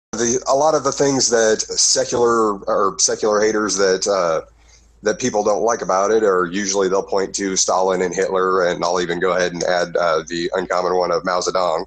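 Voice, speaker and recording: A man talks at a fairly quick pace in a fairly low pitch, with ordinary pitch variation and very even loudness. Noticeable background noise runs under the voice. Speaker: online commentator. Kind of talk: recorded discussion on morality. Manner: halting, many fillers.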